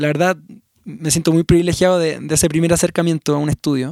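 In a Chilean accent, a man is speaking. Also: dry, close sound with no echo. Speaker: musician. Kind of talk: casual interview conversation. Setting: recording in Mexico City.

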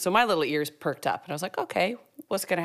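A woman talks here. Her voice swings through very wide changes in pitch. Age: 40s. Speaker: podcast co-host, former corporate executive. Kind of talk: casual chat.

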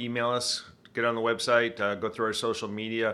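A man at medium pitch with a Michigan accent and a bright, sharp tone, at a moderate pace on a very clean recording with a silent background. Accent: Michigan, northern US. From Michigan, US. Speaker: retired Air Force pilot, innovation director. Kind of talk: interview about innovation work.

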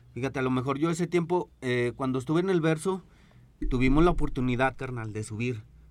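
A man, an ordinary speaking voice, ordinary pitch variation. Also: medium pitch for a man, fairly quick pace. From Zacatecas, Mexico. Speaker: DJ and music producer. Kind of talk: casual chat.

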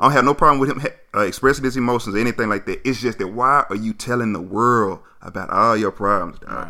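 Talking at a very fast pace, a man with an American accent has a bright, sharp tone and ordinary pitch variation. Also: medium pitch for a man. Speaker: podcast co-host. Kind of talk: casual chat. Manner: clear enunciation.

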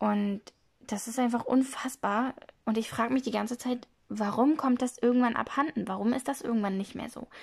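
Her intonation stays fairly even. The woman speaking has a high pitch. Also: moderate pace. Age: 20s. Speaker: podcaster. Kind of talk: casual monologue. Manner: hesitant, many fillers.

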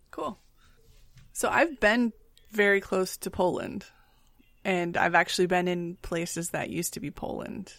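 Speaking with an Upper Midwest accent, a woman keeps a moderate pace, a medium pitch and ordinary pitch variation, with long, frequent pauses. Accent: Upper Midwest American. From West Michigan. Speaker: podcast co-host. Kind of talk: casual chat.

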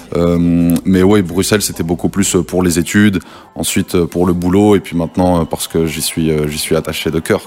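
The man's voice is very deep and low, with ordinary pitch variation. He talks at a moderate pace. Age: 20s. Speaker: rapper. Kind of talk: radio interview.

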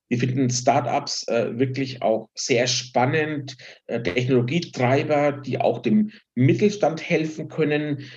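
The voice is somewhat breathy and moves at a very slow pace. Its pitch varies in an ordinary way. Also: man. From Franconia, Germany. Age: 50s. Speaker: finance executive and fund founder. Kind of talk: casual interview.

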